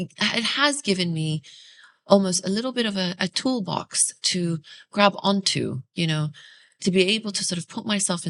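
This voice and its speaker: A woman speaks with an Arabic accent. Her pitch is medium. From UAE (early years Iraq, Australia). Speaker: podcast host. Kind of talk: casual interview conversation. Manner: hesitant, many fillers.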